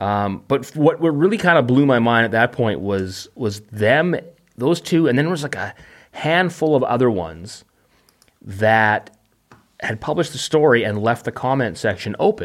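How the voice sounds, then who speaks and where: A man's normal speaking voice with a Canadian accent, medium pitch, moderate pace and lively intonation, on a very clean recording with a silent background. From Canada, Vancouver. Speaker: podcaster and video maker. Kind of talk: casual chat.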